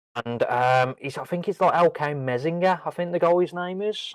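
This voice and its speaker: A man with a Brummie accent, lively intonation and a moderate pace, dry, close sound with no echo and a very clean recording with a silent background. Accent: Birmingham (Brummie). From Birmingham, England. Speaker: wrestling podcast co-host. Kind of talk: casual chat. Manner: hesitant, many ums.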